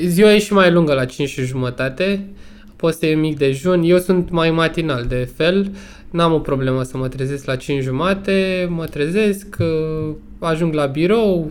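With ordinary pitch variation, this man talks at a fairly slow pace in a high pitch. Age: 30s. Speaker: entrepreneur, sports brand owner. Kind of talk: casual chat. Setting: online remote recording.

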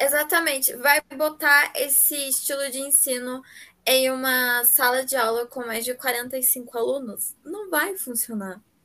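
Speaking at a very slow pace, a woman uses a raised, projected voice with a bright, sharp tone. Her pitch is high, with ordinary variation. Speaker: podcast co-host. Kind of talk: casual chat.

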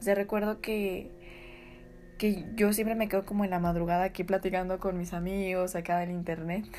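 Her dark, mellow tone stays monotone and flat as the woman speaks at a moderate pace. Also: medium pitch for a woman. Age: 20s. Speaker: podcaster. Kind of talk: casual storytelling.

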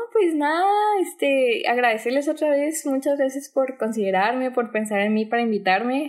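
A woman speaks with a high pitch and very even loudness on a very clean recording with a silent background. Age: 20s. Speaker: book content creator. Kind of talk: casual interview chat.

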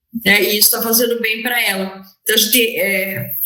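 At a moderate pace, a woman talks in a high voice. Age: 50s. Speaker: lawyer and public servant. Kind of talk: interview testimony. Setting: remote call (hybrid format).

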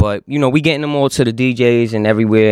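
A man speaks at a very fast pace with fairly even intonation, the sound dry and close with no echo. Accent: New York. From Yonkers, New York. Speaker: rapper. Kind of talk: casual chat. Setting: studio.

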